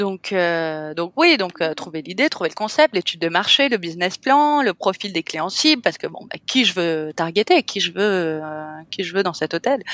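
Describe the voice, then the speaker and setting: Pitch swings very widely at a moderate pace, and the sound is dry and close with no echo. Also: woman, medium pitch for a woman. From France, Cannes (French Riviera). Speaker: hotel owner, entrepreneur. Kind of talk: podcast interview. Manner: hesitant, many fillers.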